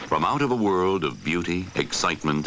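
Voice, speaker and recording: A man talks at a moderate pace. His voice shows vocal fry. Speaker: documentary narrator. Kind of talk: wildlife documentary narration.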